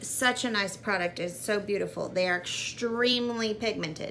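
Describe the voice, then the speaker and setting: A woman with a fairly high pitch speaks in an animated tone at a moderate pace, with ordinary pitch variation and hardly any pauses. Noticeable background noise is present. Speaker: beauty vlogger. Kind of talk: makeup tutorial.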